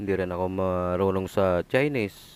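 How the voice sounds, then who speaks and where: This man has a very deep, low pitch. He speaks at a very slow pace. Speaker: delivery rider motovlogger. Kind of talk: vlog narration.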